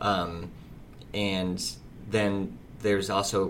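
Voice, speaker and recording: The speaker talks in a monotone, flat way with an American accent. Room echo is audible. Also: man. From US Midwest, Fort Wayne, Indiana. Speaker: restaurant owner. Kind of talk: casual interview.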